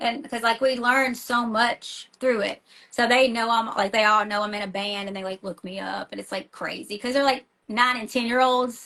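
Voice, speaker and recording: A woman with a Tennessee accent, fairly high in pitch, bright and sharp in tone, with big swings in loudness. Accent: Tennessee country. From US South, small-town Tennessee. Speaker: rock band vocalist and school teacher. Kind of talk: casual interview chat. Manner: animated, fast with many fillers and restarts.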